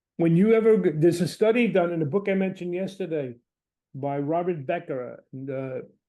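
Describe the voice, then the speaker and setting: A man with a New York accent, a high pitch and a dark, mellow tone speaks at a fairly quick pace with ordinary pitch variation. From Brooklyn, New York. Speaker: Jungian analyst and lecturer. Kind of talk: lecture. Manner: animated.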